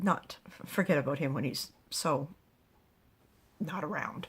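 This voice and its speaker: A woman uses a raspy, put-on character voice. Her pitch is very deep and low, and she speaks at a fairly slow pace. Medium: read story. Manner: chatty, fretful.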